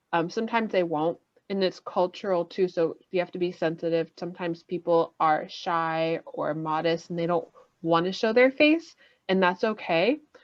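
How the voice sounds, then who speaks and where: A woman speaks at a moderate pace in a normal speaking voice. Her pitch is fairly low, with ordinary pitch variation. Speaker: ESL teacher running a workshop. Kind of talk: workshop lecture over video call. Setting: video call. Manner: casual, filler-heavy.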